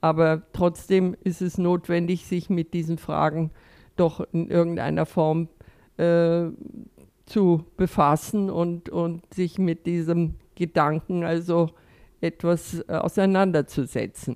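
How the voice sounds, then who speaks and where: The recording is very clean, with a silent background. Speech comes very slowly in a dark, mellow tone with monotone, flat intonation. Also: woman, fairly low pitch for a woman. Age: 80s+. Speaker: retired physiotherapist, volunteer. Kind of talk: interview. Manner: halting.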